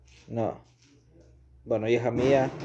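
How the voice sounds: The man's voice has a slightly mellow tone.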